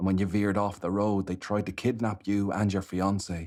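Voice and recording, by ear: The passage is read aloud. The voice is natural throughout.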